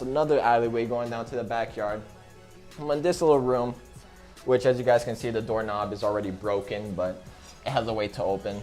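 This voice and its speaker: Over music in the background, the speaker moves at a fairly quick pace with ordinary pitch variation. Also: man. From United States. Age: young. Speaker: vlogger. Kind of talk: casual talk to camera.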